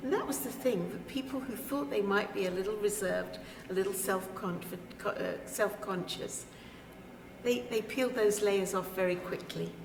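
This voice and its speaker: A British accent at a moderate pace, with ordinary pitch variation, audible room echo and noticeable background noise. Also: woman, medium pitch for a woman. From Britain. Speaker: speaker at a women's retreat. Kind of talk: interview. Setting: on camera at a retreat.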